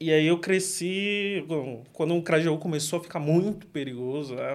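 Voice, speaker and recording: In a São Paulo accent, a man talks at a moderate pace with ordinary pitch variation. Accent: Paulistano Brazilian Portuguese. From São Paulo, Grajaú. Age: 20s. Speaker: product manager and martial artist. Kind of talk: interview.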